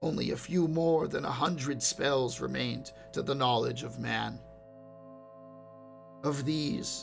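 A man with a fairly high pitch and lively intonation at a fairly slow pace, music in the background. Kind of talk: fantasy short story reading.

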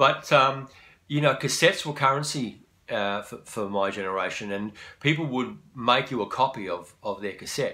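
Bright and sharp in tone, a man talks at a moderate pace with big swings in loudness. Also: ordinary pitch variation. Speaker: musician. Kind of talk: casual chat. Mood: warm, reminiscing. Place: home room. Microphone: phone near.

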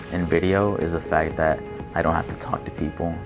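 Ordinary pitch variation marks the speech, heard over noticeable background noise. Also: man. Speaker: university student. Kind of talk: interview answer. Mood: earnest, determined.

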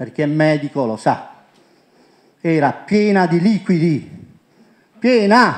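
Against a quiet background, a man speaks at a very slow pace with lively intonation. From Puglia, Italy (Monopoli); Puglia, Italy. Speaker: presenter. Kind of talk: conference talk. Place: hall. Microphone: handheld.

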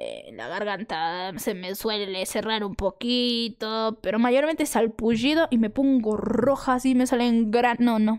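Over a quiet background, a woman talks at a fairly slow pace with hardly any pauses and ordinary pitch variation. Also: fairly high pitch for a woman. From Peru, Arequipa; Peru. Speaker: content creator. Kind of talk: casual chat. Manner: animated. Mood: relaxed, playful. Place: home room. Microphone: studio mic.

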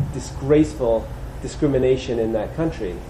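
Audible room echo surrounds a man's voice. Light background noise is also present. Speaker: preacher. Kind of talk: sermon. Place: church.

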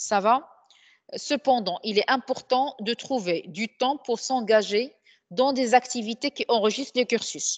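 Very slow speech in a Moroccan accent comes with ordinary pitch variation, a dry, close sound with no echo, and a quiet background. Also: woman, high pitch for a woman. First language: Moroccan Arabic (speaking French). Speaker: trainer. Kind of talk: lecture.

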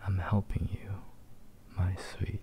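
The voice is soft-spoken. Noticeable background noise sits behind it. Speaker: roleplay voice actor. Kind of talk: audio roleplay performance. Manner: soft, slow, possessive ASMR voice.

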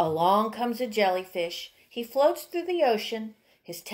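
A speaker reads the text aloud in a natural voice.

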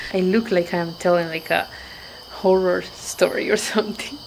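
Noticeable background noise sits behind a woman's voice. She talks at a moderate pace with ordinary pitch variation. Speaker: travel vlogger. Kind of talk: casual vlog chat. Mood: amused, slightly spooked. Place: street. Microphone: phone near.

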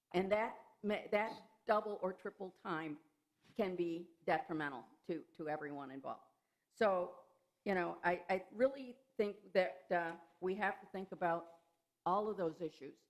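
A woman's medium-pitched voice at a moderate pace, with ordinary pitch variation and long, frequent pauses. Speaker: public commenter at township meeting. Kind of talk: public comment at board meeting. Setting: township board meeting. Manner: loud.

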